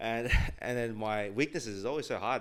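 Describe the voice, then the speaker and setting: A man with an Australian accent speaks at a fairly low pitch. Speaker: tech sales worker. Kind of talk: casual chat. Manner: fast; many filler words.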